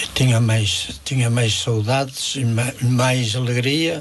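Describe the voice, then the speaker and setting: Against noticeable background noise, a man talks at a very slow pace and a medium pitch with fairly even intonation. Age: 80s+. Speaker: elderly day centre user, widower. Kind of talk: radio interview.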